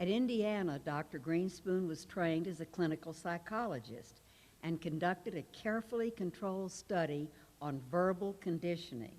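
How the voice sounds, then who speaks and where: A woman speaks at a moderate pace with ordinary variation in pitch. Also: fairly low pitch for a woman. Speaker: award ceremony presenter. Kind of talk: reading aloud a tribute. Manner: loud.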